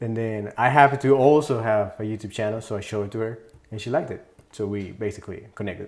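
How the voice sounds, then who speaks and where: A man speaks at a very fast pace with a Spanish accent and medium pitch. His intonation is fairly even, while his loudness swings widely. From Mexico City, moved to California at ten. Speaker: music producer. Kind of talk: interview.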